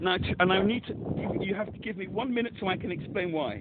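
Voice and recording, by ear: A high-pitched man at a fast pace, with lively intonation.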